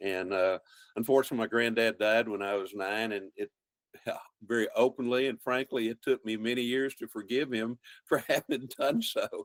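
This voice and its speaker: Here a man with a Texan accent and medium pitch speaks at a moderate pace with fairly even intonation. The sound is dry and close, with no echo. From central Texas, German-speaking rural community. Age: 70s. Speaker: wildlife biologist and outdoor TV host. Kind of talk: casual interview.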